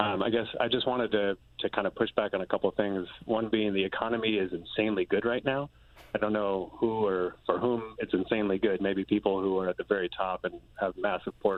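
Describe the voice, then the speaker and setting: In an ordinary speaking voice, a man talks fairly quickly at a fairly low pitch with fairly even intonation. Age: 30s. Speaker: call-in viewer. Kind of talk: call-in comment.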